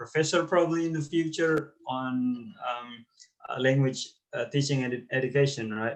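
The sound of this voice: Audible room echo surrounds a man speaking at a fairly slow pace and medium pitch with ordinary pitch variation.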